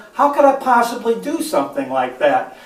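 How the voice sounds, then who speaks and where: A man speaks with lively intonation. Noticeable background noise and audible room echo surround his voice. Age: 60s. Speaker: golf instructor. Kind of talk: tutorial. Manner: halting.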